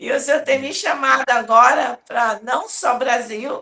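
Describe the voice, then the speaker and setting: A woman's high-pitched, bright, sharp voice at a very slow pace, with ordinary pitch variation. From Brazil, São Paulo (Taiwanese-born). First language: Taiwanese (speaking Portuguese). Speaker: apostle, revival preacher. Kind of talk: interview testimony.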